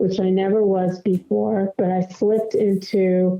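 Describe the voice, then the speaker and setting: Monotone, flat intonation from a woman at medium pitch. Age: 60s. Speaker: MS advocate and writer. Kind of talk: podcast interview. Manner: halting, many fillers.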